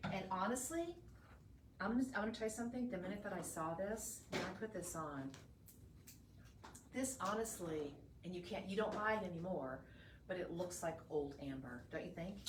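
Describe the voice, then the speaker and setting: With a Texan accent and lively intonation, the speaker keeps a moderate pace broken by long, frequent pauses, amid audible room echo and noticeable background noise. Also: woman, medium pitch for a woman. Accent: Texan Southern American. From northeast Texas. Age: 60s. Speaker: shopping channel host and gemologist. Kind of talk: live shopping sales pitch. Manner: animated.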